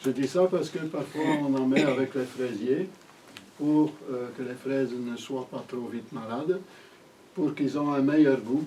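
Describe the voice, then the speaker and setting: A man with a Flemish accent speaks at a fairly slow pace and a medium pitch, with ordinary pitch variation. He takes long, frequent pauses over noticeable background noise. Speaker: gardening teacher. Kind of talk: lecture. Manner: halting.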